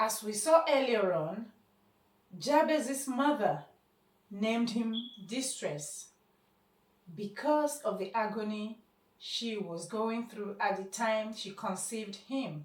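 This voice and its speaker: A somewhat breathy woman's voice, fairly high-pitched with lively intonation, at a very slow pace with long, frequent pauses. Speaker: spoken word poet and speaker. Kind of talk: short motivational talk.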